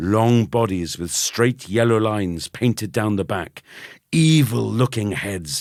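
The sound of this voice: The clip carries an unforced reading voice with ordinary pitch variation.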